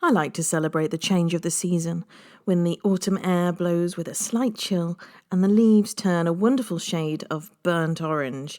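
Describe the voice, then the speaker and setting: A woman with an ordinary speaking voice talks at a moderate pace in a fairly low pitch, with ordinary pitch variation, on a very clean recording with a silent background. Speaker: tour guide. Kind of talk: history podcast narration.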